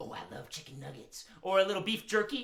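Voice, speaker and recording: A cartoonish character voice delivered fairly quickly. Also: woman, medium pitch for a woman. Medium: puppet show. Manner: hesitant, stammering.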